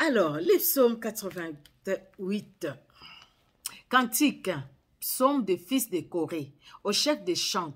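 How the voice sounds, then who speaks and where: With a Congolese accent, a woman talks at a very slow pace, leaving long, frequent pauses as her pitch swings very widely. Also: medium pitch for a woman. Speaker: Bible reader. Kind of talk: sermon; reading aloud. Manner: halting.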